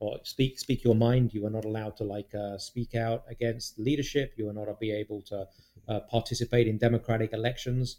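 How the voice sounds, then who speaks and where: Flat, monotone intonation marks this man's British accent. His tone is dark and mellow. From England (London). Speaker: guest, British immigrant. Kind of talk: casual chat.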